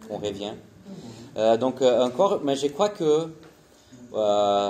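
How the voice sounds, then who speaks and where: A dark, mellow tone with ordinary pitch variation, in a Portuguese accent. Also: man. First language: Portuguese (speaking French). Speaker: missionary. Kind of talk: conference presentation. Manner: halting, many hesitations.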